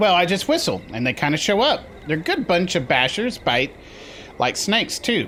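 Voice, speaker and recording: A man puts on a character voice, pitched high for a man, at a moderate pace. Background noise is clearly audible. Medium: actual play. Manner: chatty, wisecracking.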